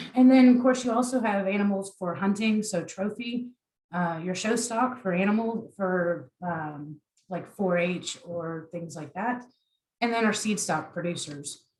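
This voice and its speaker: With an American accent, a woman speaks at a moderate pace in a somewhat breathy voice, with medium pitch and ordinary pitch variation. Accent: Southern US, comes through at times. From US South, South Carolina (Beaufort). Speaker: agriculture extension specialist. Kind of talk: online workshop presentation. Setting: online presentation.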